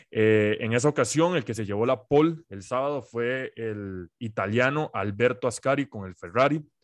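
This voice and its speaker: A man speaks at a moderate pace with ordinary pitch variation in a dry, close sound with no echo, against a quiet background. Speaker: podcast host. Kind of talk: casual chat.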